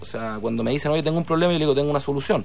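This man has an unremarkable speaking voice, pitched fairly high for a man, with lively intonation. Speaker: sports marketing entrepreneur, former sports journalist. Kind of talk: radio interview.

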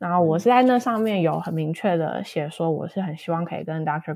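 A very clean recording with a silent background, carrying a woman's fairly low-pitched voice. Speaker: postdoctoral researcher. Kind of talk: casual interview. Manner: hesitant, many fillers.

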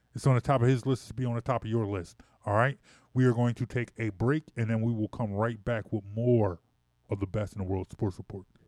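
A man with an American accent speaks at a fairly quick pace in a medium pitch, with a dry, close sound with no echo and a quiet background. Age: 40s. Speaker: radio sports host. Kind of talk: radio sports talk, casual banter. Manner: animated, chatty, joking, lots of restarts and interruptions.

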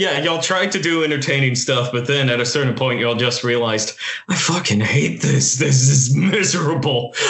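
At a fairly quick pace, a man with a medium pitch speaks over noticeable background noise. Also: ordinary pitch variation, very even loudness. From US, Italian-American family. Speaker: film podcast co-host. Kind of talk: casual chat.

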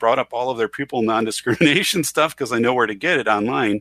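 A man with an Upper Midwest accent talks at a very fast pace, his medium-pitched voice bright and sharp with ordinary pitch variation. The sound is dry and close, with no echo. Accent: Upper Midwest American. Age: 40s. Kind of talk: casual chat.

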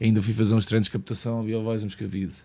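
Recorded very cleanly against a silent background, a man speaks with a dark, mellow tone at a fairly low pitch. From Lisbon, Portugal (Portela). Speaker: screenwriter. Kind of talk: casual chat.

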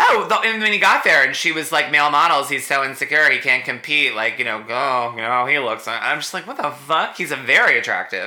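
Using a plain, everyday voice, a man speaks fairly quickly with hardly any pauses, at a fairly high pitch with lively intonation. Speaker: podcast host. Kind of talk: casual chat.

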